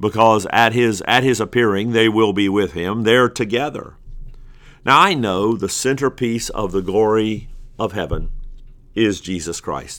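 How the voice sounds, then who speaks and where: Speech comes at a fairly slow pace with ordinary pitch variation. The recording is very clean with a silent background. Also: man, fairly low pitch for a man. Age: 50s. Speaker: pastor. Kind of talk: recorded bible teaching. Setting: office. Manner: hesitant with filler words.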